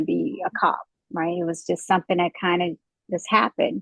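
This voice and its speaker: A woman speaks at a medium pitch. She has a slight Southern US accent. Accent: slight Southern twang. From Midwest US, St. Louis. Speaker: police officer. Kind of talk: interview. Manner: hesitant, many fillers.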